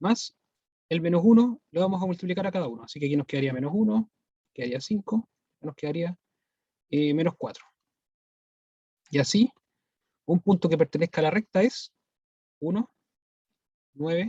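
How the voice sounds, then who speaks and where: Speaking at a high pitch with a dark, mellow tone, a man uses lively intonation and long, frequent pauses, recorded with a dry, close sound and no echo. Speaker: math teacher. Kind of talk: online lecture. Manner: fast.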